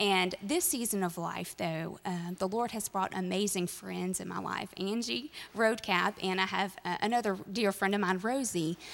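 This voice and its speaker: A woman speaks in a normal speaking voice at medium pitch and a moderate pace. Her pitch varies in an ordinary way, with hardly any pauses. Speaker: minister's wife. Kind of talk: testimony. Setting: church.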